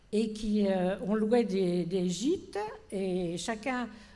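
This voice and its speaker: A woman speaks at a medium pitch with ordinary pitch variation. Audible room echo surrounds her voice. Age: 80s+. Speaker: panelist, organizer of cohousing seminars. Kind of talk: panel discussion. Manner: hesitant, many fillers.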